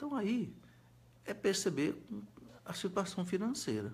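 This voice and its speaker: This man's voice carries vocal fry and very wide pitch swings. He speaks at a fairly slow pace, with audible echo in the room. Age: 60s. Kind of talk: live-stream Q&A talk. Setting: Facebook live video. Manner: halting, repetitive.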